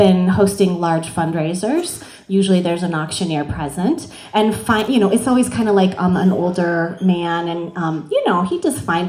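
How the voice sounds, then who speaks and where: A woman talks fairly quickly while noticeable noise fills the background. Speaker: benefit auctioneer. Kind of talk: interview answer.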